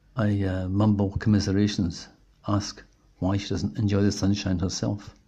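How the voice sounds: This is a natural reading voice. The words are read aloud.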